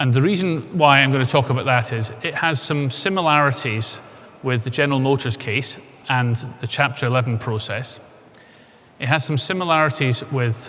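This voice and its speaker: With a Scottish accent, a man talks at a moderate pace and medium pitch, with ordinary pitch variation and audible room echo. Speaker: insolvency expert speaker. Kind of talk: conference presentation.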